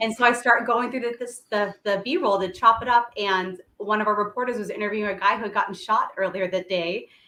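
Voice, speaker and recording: With a bubbly tone, a woman speaks at a fairly quick pace and a fairly high pitch. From US Midwest, Lawrence, Kansas. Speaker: tv news producer. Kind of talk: casual interview chat. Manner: loud and bubbly normally.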